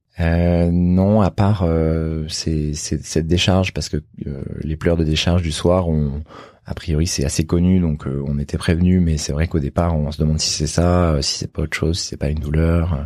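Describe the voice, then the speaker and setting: Over noticeable background noise, a man with a very deep, low voice speaks at a moderate pace in a monotone, flat intonation. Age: 30s. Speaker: doctor. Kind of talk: testimony. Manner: halting.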